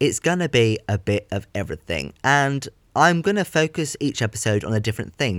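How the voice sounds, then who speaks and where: In a southern English accent, a man speaks at medium pitch with very wide pitch swings. The recording is very clean with a silent background and a dry, close sound with no echo. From southern England. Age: 20s. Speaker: podcaster and theatre production student. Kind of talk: casual monologue. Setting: home bedroom, under a duvet.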